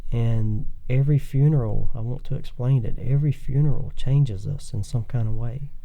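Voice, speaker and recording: A soft-spoken man's somewhat breathy, dark and mellow voice of medium pitch, fairly even in intonation, with hardly any pauses. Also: moderate pace. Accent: Southern US. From Thomasville, Georgia. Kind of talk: interview answer.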